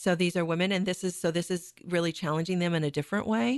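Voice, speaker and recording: Against a quiet background, a woman uses an ordinary speaking voice with a fairly low pitch. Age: 50s. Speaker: theater director and producer. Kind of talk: radio interview. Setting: radio studio.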